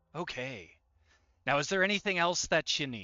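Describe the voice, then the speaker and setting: Speaking at a moderate pace, a man puts on a character voice pitched fairly high. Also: lively intonation. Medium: actual play. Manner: folksy, obliging.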